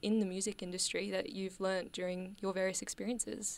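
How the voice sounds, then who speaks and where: An unremarkable speaking voice from a woman at medium pitch, with fairly even intonation, in a very clean recording with a silent background. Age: young. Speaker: radio host. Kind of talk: radio interview. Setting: radio studio.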